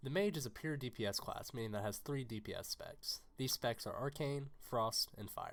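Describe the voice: At a moderate pace, a man with a medium pitch and vocal fry sounds fairly bright, his intonation lively.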